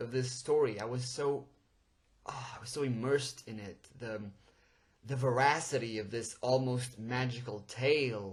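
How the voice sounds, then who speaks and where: A somewhat breathy man with a Portuguese accent speaks in an animated tone at a moderate pace, with ordinary pitch variation, big swings in loudness and long, frequent pauses. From Portugal. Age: 20s. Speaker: podcast host. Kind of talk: podcast monologue.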